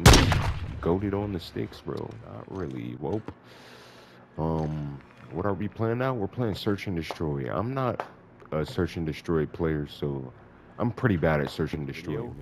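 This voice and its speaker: With long, frequent pauses, a man talks at a fairly slow pace in a very deep, low pitch that swings very widely. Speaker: gaming commentator. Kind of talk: casual gameplay commentary. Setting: home recording over game audio.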